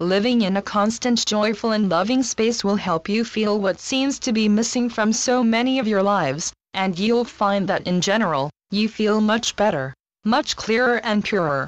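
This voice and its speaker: Over a quiet background, a woman with a plain, everyday voice speaks at a moderate pace, fairly high in pitch, with ordinary pitch variation and very even loudness. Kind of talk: channeled spiritual message reading.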